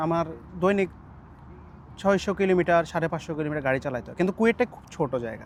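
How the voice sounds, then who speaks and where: A man is speaking here. His voice is high-pitched. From Bangladesh, Noakhali. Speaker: migrant house driver. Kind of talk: interview.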